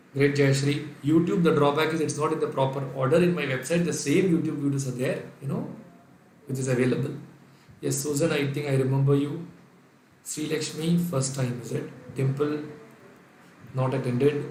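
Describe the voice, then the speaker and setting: A man with an Indian accent, fairly high in pitch, in a monotone, flat delivery at a moderate pace with long, frequent pauses, amid noticeable background noise and audible room echo. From India, Kerala (Calicut). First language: Sindhi. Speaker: accounting lecturer. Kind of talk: online lecture. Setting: live online class.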